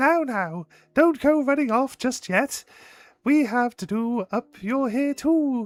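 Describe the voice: The speaker uses a put-on character voice pitched fairly high. The pace is fairly slow.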